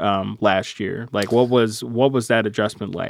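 With an unremarkable speaking voice, this man keeps a moderate pace at a medium pitch, his pitch varying in an ordinary way. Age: 20s. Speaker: public radio reporter and podcast host. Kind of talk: interview podcast.

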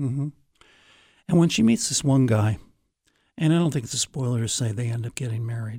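A somewhat breathy voice at a fairly quick pace, broken by long, frequent pauses. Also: man, medium pitch for a man, ordinary pitch variation. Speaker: radio host. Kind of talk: radio interview about a book. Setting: radio studio.

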